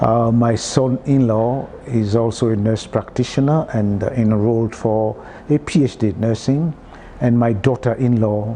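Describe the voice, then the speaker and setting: At a moderate pace, a man with a medium pitch keeps his intonation fairly even over noticeable background noise. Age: 60s. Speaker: health and wellness expert. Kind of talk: interview. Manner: halting, many fillers.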